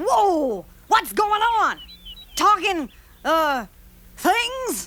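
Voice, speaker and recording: A cartoonish character voice sits at an extremely high pitch with very wide pitch swings. It moves at a very slow pace. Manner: eager, excitable.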